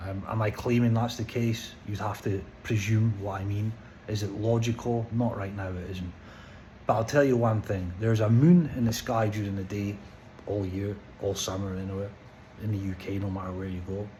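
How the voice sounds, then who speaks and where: In a Scottish accent, a man speaks at a moderate pace with a fairly low pitch and fairly even intonation. Room echo is audible around him. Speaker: vlogger. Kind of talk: personal vlog monologue. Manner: slurred; halting, stammering.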